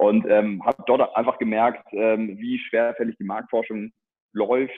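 With a slightly husky edge, a man speaks at a moderate pace in a fairly low pitch with little pitch movement.

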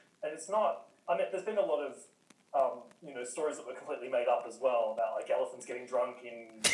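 A man with an Australian accent talks at a very fast pace, with big swings in loudness, audible room echo and noticeable background noise. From Newcastle, Australia. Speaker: communications and content worker. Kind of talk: casual chat.

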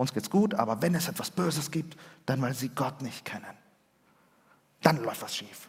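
The speech is somewhat breathy, with lively intonation, a moderate pace and long, frequent pauses. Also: man, fairly high pitch for a man. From Chile, then Germany from age 8. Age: 40s. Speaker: pastor. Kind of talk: sermon.

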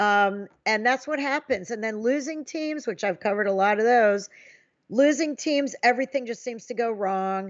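A woman talks in a normal speaking voice at a fairly high pitch. Her pace is moderate and her pitch variation ordinary. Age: 50s. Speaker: sports journalist. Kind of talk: casual chat.

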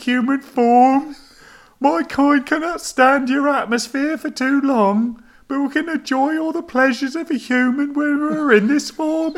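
A man performs a put-on character voice with a Birmingham accent as part of the act, pitched extremely high. He keeps a moderate pace. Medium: read story.

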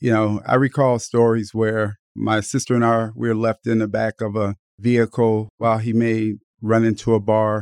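A man with an American accent speaks at medium pitch in a flat monotone, recorded very cleanly against a silent background with a dry, close sound and no echo. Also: moderate pace. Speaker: running coach and author. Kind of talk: interview about his book. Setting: studio.

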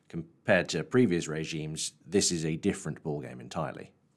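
A man with vocal fry at a moderate pace, on a very clean recording with a silent background. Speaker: podcast host, shipping journalist. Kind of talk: scripted narration and interview.

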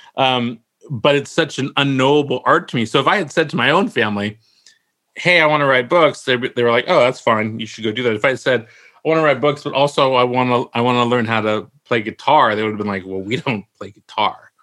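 A man with a Californian accent speaks at a fairly quick pace in a bright, sharp tone, his pitch medium with ordinary variation. The recording is very clean, with a silent background. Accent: General American (Californian). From US West Coast (San Francisco Bay Area). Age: 50s. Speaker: novelist. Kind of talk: casual chat.

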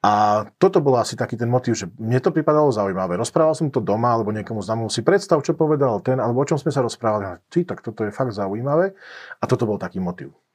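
Against a quiet background, a man speaks at a very fast pace. His medium-pitched voice makes very wide pitch swings. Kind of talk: interview. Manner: hesitant, stutters at times.

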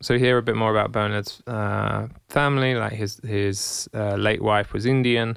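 A man speaks in an ordinary speaking voice at a fairly low pitch, slowly and with hardly any pauses. His intonation is fairly even, and the background is quiet. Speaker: podcast co-host. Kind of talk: casual chat.

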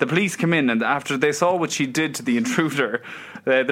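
Very fast speech from a man with an Irish accent, fairly high pitch and lively intonation. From Ireland. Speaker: podcast co-host. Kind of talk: casual chat.

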